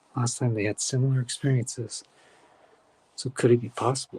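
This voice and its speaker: The voice is whispered and somewhat breathy at a moderate pace, with a dry, close sound and no echo. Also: man. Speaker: live event host. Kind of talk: live commentary. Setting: outdoors. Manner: whispering.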